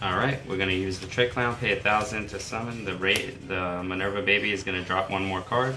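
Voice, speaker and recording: Over music, a man speaks at a fairly quick pace with fairly even intonation and a fairly low pitch. Room echo is audible. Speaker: card game YouTuber. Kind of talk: gameplay tutorial. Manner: casual.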